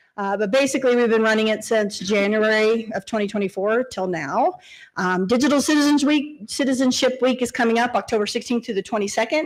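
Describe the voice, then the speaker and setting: Talking at a fairly quick pace, a woman uses a fairly high pitch with ordinary pitch variation. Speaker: school district technology director. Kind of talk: board meeting presentation. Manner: fast.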